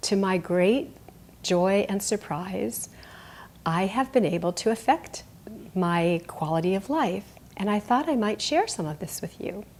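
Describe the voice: A woman speaks at a fairly slow pace and medium pitch. Her tone is slightly mellow and her intonation lively.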